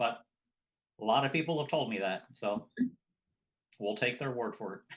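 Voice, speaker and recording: Here a man speaks with an American accent. His pitch is medium, with ordinary pitch variation. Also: moderate pace. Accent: twang, noted by others. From southern New Jersey. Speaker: square dance caller. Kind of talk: interview.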